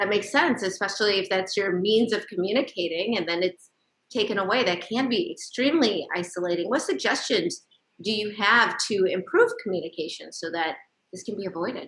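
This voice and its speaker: A woman's unremarkable speaking voice at a medium pitch, with lively intonation and a fairly quick pace. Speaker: TV show host. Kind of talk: TV interview hosting.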